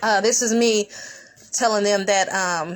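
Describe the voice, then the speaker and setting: A woman with a medium-pitched voice speaks very slowly and with fairly even intonation over noticeable background noise. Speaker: activist. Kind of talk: casual livestream explanation.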